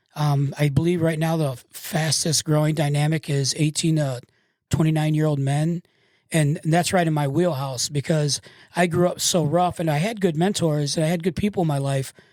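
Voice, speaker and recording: A man with an American accent speaks at a moderate pace in an ordinary speaking voice, his pitch fairly high and his intonation fairly even, on a very clean recording with a silent background. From Michigan. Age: 60s. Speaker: tattoo artist and public speaker. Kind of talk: casual interview. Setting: studio.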